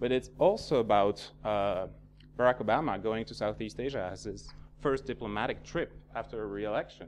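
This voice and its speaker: A man talks fairly quickly, and the background is quiet. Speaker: security researcher, panel speaker. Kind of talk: seminar presentation. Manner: fast; halting, many fillers.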